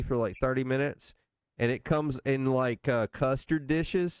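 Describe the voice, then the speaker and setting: With a slight North Alabama accent, a man speaks at a moderate pace in a fairly high pitch, the sound dry and close with no echo. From northeast Mississippi. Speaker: podcast host. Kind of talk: casual chat.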